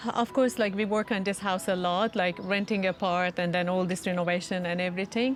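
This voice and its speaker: In a non-native accent, a woman talks at a medium pitch. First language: not English. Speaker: first-time parent. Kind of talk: casual interview.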